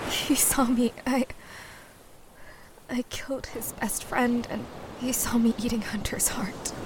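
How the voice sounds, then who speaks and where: A raspy, female-sounding put-on character voice, high in pitch and fairly slow, with long, frequent pauses and light background noise. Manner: pleading, remorseful.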